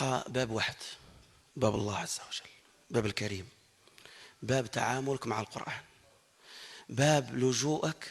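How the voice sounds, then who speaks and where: A somewhat breathy voice at a fairly slow pace. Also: man. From Morocco. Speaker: Quran reciter. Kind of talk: testimony. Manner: halting.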